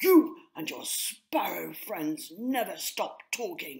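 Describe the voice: A woman uses a put-on character voice at a fairly low pitch, slightly mellow in tone with vocal fry. She speaks slowly, with lively intonation.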